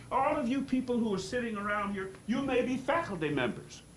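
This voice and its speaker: A man speaks at a fairly quick pace with lively intonation, amid noticeable background noise and audible room echo. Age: 80s+. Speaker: public commenter at board meeting. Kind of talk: public comment speech. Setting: board meeting. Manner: animated.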